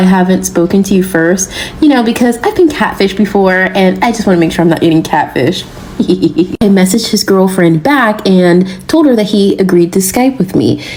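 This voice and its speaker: Noticeable background noise sits behind a woman with an American accent and lively intonation. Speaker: storyteller. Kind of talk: casual storytelling.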